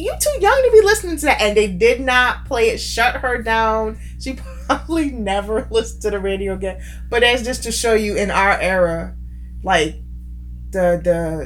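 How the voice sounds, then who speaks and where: Through noticeable background noise and audible room echo, a woman speaks at a fairly slow pace. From UK. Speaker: co-host. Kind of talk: casual chat.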